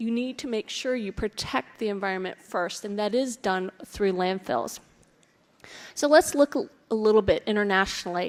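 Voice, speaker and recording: A woman with an American accent talks in a normal speaking voice, fairly high in pitch, at a moderate pace with ordinary pitch variation. The recording is very clean, with a silent background. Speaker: conference speaker on waste management. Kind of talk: presentation.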